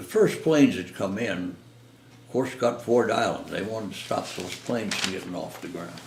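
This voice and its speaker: A man's medium-pitched voice at a moderate pace, with big swings in loudness and noticeable background noise. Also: ordinary pitch variation. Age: 80s+. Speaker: war veteran. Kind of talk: interview answer.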